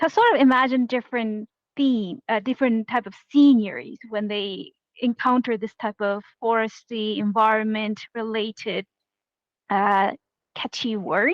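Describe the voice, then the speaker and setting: In a Korean accent, a woman talks at a fairly slow pace with fairly even intonation, in a dry, close sound with no echo. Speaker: game jam organizer. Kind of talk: online panel discussion.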